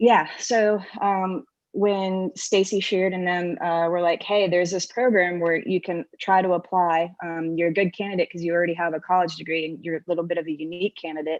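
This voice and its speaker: A woman's plain, everyday voice, fairly low and fairly even in intonation, at a fairly quick pace with hardly any pauses. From US South, Georgia (Atlanta area). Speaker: military helicopter pilot. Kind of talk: panel discussion. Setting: video call.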